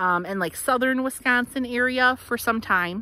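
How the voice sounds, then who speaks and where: Her tone is bright and sharp. The woman's voice sounds dry, with no echo. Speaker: local history guide. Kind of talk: casual tour commentary. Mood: cheerful, animated. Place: open country. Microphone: phone near.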